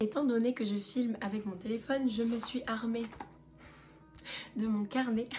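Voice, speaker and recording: A woman talks with fairly even intonation over music playing in the background. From southern France, Marseille. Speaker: lifestyle vlogger. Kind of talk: casual chat to camera. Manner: relaxed, hesitant with fillers.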